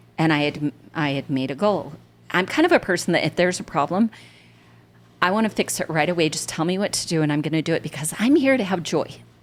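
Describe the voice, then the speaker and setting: A woman with a fairly low pitch speaks at a very fast pace with an American accent. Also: lively intonation. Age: 60s. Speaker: senior events coordinator. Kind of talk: casual chat.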